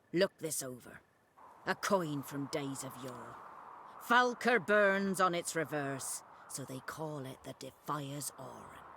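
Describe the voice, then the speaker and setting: Putting on a character voice, a man speaks fairly slowly at a fairly high pitch. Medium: video game. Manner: crude, cackling, rustic.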